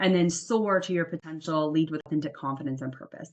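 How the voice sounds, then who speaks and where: Her tone is animated, her pitch very deep and low for a woman. She talks at a fairly quick pace. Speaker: career coach. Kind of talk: webinar masterclass. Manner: fast.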